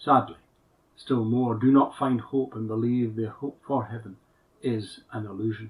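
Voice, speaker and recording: A man talks at a moderate pace in a medium pitch. His voice is somewhat breathy. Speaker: minister. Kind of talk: sermon.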